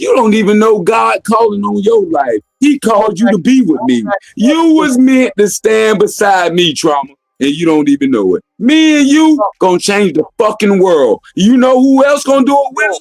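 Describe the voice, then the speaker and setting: Loud and shouting, a man speaks at a moderate pace in a high pitch. His pitch swings very widely. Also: dry, close sound with no echo. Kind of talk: heated debate. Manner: loud, yelling.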